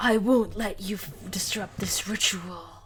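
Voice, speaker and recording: A put-on character voice, fairly high in pitch and fairly slow, over clear background noise. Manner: threatening, defiant.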